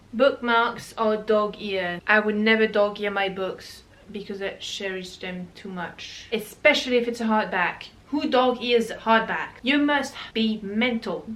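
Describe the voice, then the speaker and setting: A woman with a non-native accent speaks at a fairly slow pace with hardly any pauses, her pitch fairly high. Her pitch variation is ordinary, but her loudness swings widely. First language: not English. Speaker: booktuber. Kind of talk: casual chat. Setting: home, reorganizing bookshelves.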